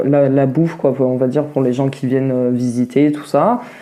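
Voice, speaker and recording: A woman speaks in a very deep, low voice over noticeable background noise. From southern France (Vaucluse, near Mont Ventoux). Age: 30s. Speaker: interviewee, cook. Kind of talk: podcast interview. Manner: hesitant, many fillers.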